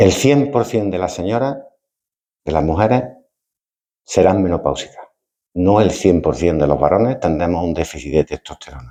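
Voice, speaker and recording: This man has a very deep, low voice with a dark, mellow tone, lively intonation, and long, frequent pauses. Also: moderate pace. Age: 60s. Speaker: retired doctor. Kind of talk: lecture. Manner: halting, repeats words.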